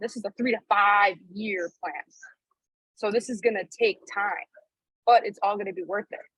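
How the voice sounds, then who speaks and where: This woman has an unremarkable speaking voice at medium pitch, moving at a moderate pace with fairly even intonation. Her loudness swings widely, and the sound is dry and close with no echo. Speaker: network marketing team leader. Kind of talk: training call.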